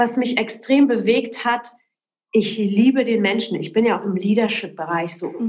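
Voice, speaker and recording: A woman speaks in an ordinary speaking voice. Her fairly high pitch rises and falls with lively intonation. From Poland, raised in Berlin and Cologne from age ten. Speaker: entrepreneur. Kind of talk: interview.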